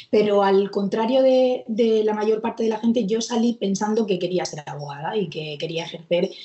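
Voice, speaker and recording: Noticeable background noise fills the recording. Through it, a woman talks at a fairly high pitch. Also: ordinary pitch variation, moderate pace, hardly any pauses. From Murcia, Spain. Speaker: court clerk and exam coach. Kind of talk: interview.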